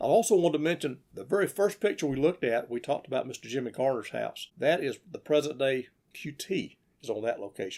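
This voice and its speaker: Here a man speaks with a Southern US accent at a very fast pace. His pitch is fairly high and his intonation lively. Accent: Southern US (Georgia). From US South, Georgia. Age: 60s. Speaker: local historian narrator. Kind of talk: narration of old photos. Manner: unscripted, conversational.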